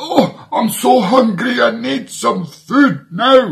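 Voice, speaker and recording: A man's put-on character voice with a Scottish accent, high in pitch and very slow. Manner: whiny and hungry.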